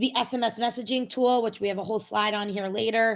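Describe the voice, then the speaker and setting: In a plain, everyday voice, a woman speaks with fairly high pitch and ordinary pitch variation. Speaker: software company presenter. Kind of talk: webinar presentation.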